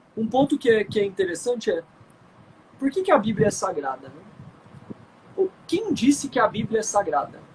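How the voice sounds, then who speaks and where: A man's high-pitched voice with lively intonation. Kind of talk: conversational explanation in a live stream. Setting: video call.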